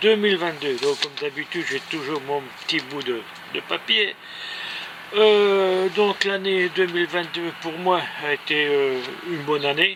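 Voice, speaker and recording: Against noticeable background noise, a man with a high pitch and ordinary pitch variation speaks at a fairly slow pace, leaving long, frequent pauses. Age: 70s. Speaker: amateur cyclist and runner vlogger. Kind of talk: casual vlog monologue. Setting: indoors in a greenhouse, rain on roof. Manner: halting, many hesitations.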